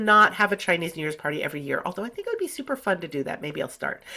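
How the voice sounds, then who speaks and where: The recording is very clean, with a silent background. A woman speaks at a fairly high pitch in an animated, bright, sharp tone. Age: 50s. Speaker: retired professor and author. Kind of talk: casual chat.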